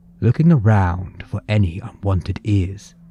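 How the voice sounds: The reading voice sounds natural. There is ordinary variation in pitch.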